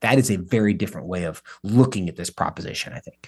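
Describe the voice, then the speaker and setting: With an American accent and a plain, everyday voice, a man talks at a fairly quick pace in a fairly low pitch with ordinary pitch variation over a quiet background. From US Pacific Northwest, coastal Washington. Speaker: podcast host. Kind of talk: interview conversation.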